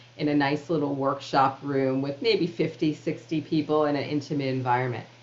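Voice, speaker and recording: Noticeable background noise sits behind a woman with a New York accent. Her voice is very deep and low, at a fairly quick pace with fairly even intonation. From New York City (Queens). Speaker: author and public speaker. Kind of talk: interview conversation.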